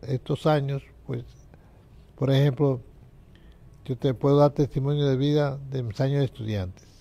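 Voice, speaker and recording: Somewhat breathy and dark, mellow in tone, the voice moves at a moderate pace with fairly even intonation. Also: man. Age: 80s+. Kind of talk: life testimony interview. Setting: TV studio.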